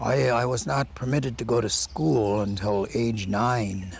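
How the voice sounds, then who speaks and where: Audible room echo surrounds a man speaking at a fairly low pitch with ordinary pitch variation. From Ojibwe community, Great Lakes region (US/Canada). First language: Ojibwe. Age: 60s. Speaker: elder and oral historian. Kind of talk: interview testimony. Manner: halting, with frequent fillers and repetitions.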